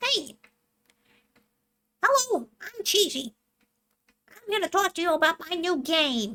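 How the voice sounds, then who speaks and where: In a put-on character voice of extremely high pitch, the speaker goes at a fairly slow pace with long, frequent pauses. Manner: cheerful, promotional.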